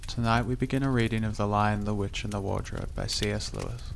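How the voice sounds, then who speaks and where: A soft-spoken man with a calm, gentle tone at a moderate pace. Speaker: narrator. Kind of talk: sleep story; audiobook reading.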